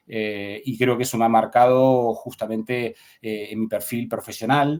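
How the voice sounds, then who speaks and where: A man at medium pitch, speaking at a fairly slow pace in a monotone, flat delivery. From Argentina, Buenos Aires province. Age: 40s. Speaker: human rights lawyer and academic. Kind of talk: podcast interview. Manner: halting, many fillers.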